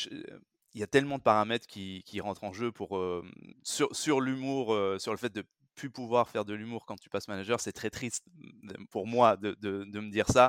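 A man talks at a moderate pace and a fairly low pitch, with fairly even intonation. His loudness swings widely, in a very clean recording with a silent background. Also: dry, close sound with no echo. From France. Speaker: recruitment manager. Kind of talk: interview. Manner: halting, many repetitions.

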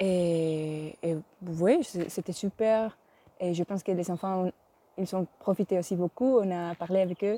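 A woman with a Spanish accent and a dark, mellow tone, at a very slow pace with fairly even intonation, in a dry, close sound with no echo and a very clean recording against a silent background. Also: medium pitch for a woman. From Spain. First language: Spanish (speaking French). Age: 20s. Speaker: cellist. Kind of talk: interview testimony.

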